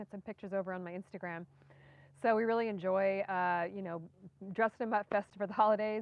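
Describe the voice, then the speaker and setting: A woman talks at a fairly quick pace. The sound is dry, with no echo. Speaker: gardening channel host. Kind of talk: casual live stream chat. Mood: cheerful, relaxed. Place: garden. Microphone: phone near.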